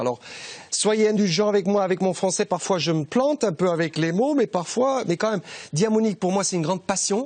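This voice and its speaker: A man speaks with a German accent. His intonation is lively. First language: German (speaking French). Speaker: TV shopping presenter. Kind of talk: sales pitch. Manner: halting.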